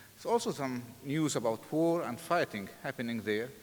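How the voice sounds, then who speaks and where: The speaker has an Arabic accent and keeps a moderate pace. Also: man. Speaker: pastor and seminary president. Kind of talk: sermon.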